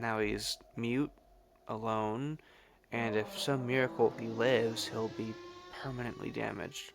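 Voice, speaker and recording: Music plays in the background as a man with a medium pitch and ordinary pitch variation speaks at a fairly slow pace. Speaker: video essayist. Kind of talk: video essay voice-over.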